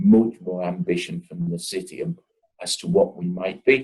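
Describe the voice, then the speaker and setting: In a Liverpool accent, a man speaks fairly slowly with very wide pitch swings. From northern England, Liverpool. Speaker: company CEO. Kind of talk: interview. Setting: video call. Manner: animated.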